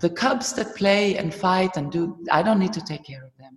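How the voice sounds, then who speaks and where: A medium-pitched woman with a German accent, moderate in pace, with ordinary pitch variation. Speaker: movement teacher and trainer. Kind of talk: interview.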